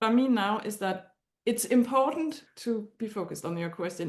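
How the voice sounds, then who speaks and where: A woman speaks in a Danish accent at a fairly high pitch. Her intonation is lively. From Denmark. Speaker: astrology client. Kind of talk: consultation conversation. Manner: halting.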